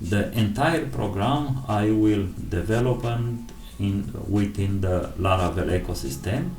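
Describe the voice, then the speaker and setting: A man with a non-native accent speaks at a fairly low pitch with lively intonation. Noticeable background noise and audible room echo fill the recording. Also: fairly slow pace. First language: not English. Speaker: programming tutorial creator. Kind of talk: tutorial. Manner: halting.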